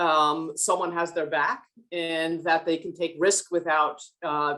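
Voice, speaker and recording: A woman with a New Jersey accent speaks at a fairly low pitch and a fairly slow pace. Her tone is bright and sharp. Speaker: business leader on a panel. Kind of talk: panel discussion.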